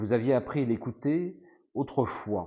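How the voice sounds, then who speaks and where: A man talks with lively intonation. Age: 50s. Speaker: gamebook playthrough streamer. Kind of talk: reading aloud.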